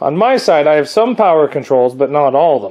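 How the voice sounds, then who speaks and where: A man at a moderate pace. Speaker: car mechanic vlogger. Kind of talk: casual tutorial walkthrough.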